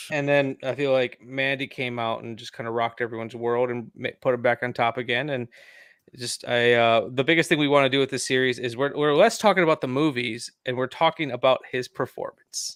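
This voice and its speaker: In a normal speaking voice, a man talks at a fairly quick pace with a medium pitch and fairly even intonation, on a very clean recording with a silent background and a dry, close sound with no echo. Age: 30s. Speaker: podcaster. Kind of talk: casual chat.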